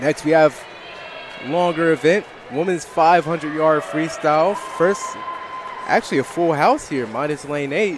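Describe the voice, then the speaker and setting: Noticeable background noise sits behind speech at a moderate pace with ordinary pitch variation. Long pauses come often. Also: man, fairly high pitch for a man. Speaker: sports commentator. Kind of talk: live commentary.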